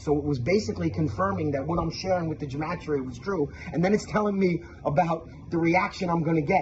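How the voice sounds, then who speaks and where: A man's animated, very fast delivery in a Brooklyn accent, fairly high-pitched with lively intonation and noticeable background noise. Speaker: religious video maker. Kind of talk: testimony.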